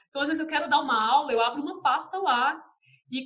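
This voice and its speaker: In a caipira accent, a woman projects a raised voice with a bright, sharp tone. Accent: caipira Brazilian Portuguese. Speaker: visual artist and art teacher. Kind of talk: interview. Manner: hesitant, many fillers.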